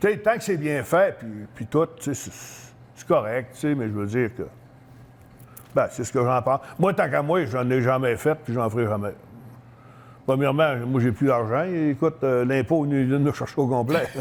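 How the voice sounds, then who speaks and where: A man talks at a moderate pace and a medium pitch. His pitch varies in an ordinary way, with long, frequent pauses. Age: 60s. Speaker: retired professional wrestler. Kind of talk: interview. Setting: fitness store.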